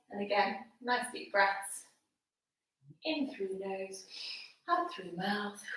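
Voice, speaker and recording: A woman at a very slow pace, with lively intonation, long, frequent pauses, big swings in loudness and audible room echo. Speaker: fitness instructor. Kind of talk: workout instruction. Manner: casual, chatty.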